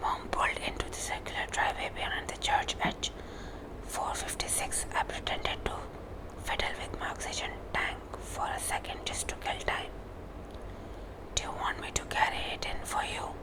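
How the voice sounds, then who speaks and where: Whispering at a moderate pace with long, frequent pauses, a woman is heard over noticeable background noise. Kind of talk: ASMR book reading, whispered. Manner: whispered, soft-spoken.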